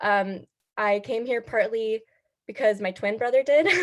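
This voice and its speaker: A woman speaks with an American accent in an unremarkable speaking voice. Her pitch is fairly high and her pace moderate. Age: 20s. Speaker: student club leader. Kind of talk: casual introduction on video call.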